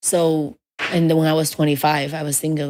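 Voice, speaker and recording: Speaking at a fairly quick pace, a woman with a strong Chinese accent has a very deep, low pitch. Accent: heavy Chinese. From China. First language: Mandarin Chinese. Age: 30s. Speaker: stand-up comedian. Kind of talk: casual interview chat. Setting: studio.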